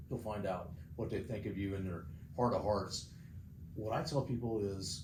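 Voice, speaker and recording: With audible room echo, a man talks at a moderate pace in a dark, mellow tone that is somewhat breathy. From South Dakota, Sturgis. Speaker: mayoral candidate. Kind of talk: interview. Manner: blunt.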